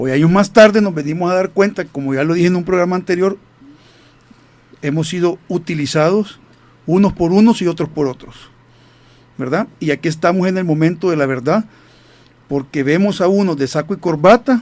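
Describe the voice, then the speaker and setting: Long, frequent pauses mark a man's moderate-paced speech, pitched high with ordinary pitch variation. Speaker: radio host, retired army officer. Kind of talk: radio talk show.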